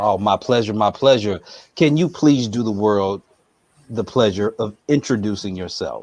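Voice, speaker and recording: An unremarkable speaking voice keeps a moderate pace and ordinary pitch variation against a quiet background. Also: man, fairly low pitch for a man. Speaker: interviewer, channel host. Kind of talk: podcast-style interview intro.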